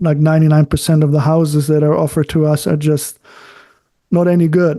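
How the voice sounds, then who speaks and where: Against a quiet background, a man with a German accent speaks in a dark, mellow tone. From Germany. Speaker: architect and author. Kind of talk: interview conversation. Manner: halting, searches for words.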